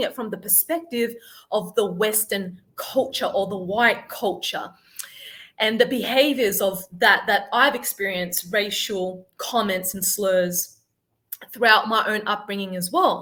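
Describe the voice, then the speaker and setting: A woman with an Australian accent, bright and sharp in tone, at a fairly slow pace with ordinary pitch variation. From Australia, Sydney. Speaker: life coach. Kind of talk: interview.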